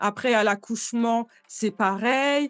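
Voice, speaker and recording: Recorded dry and close with no echo, a woman speaks at a fairly high pitch over a very clean, silent background. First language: Bambara and Soninke (speaking French). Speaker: entrepreneur. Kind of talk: interview. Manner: hesitant, many fillers.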